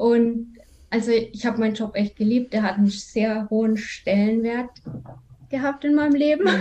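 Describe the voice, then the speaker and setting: This woman's pitch is fairly high and her tone dark and mellow. She keeps her intonation fairly even. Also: moderate pace. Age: 30s. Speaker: virtual assistant, former quality assurance worker. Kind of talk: personal testimony.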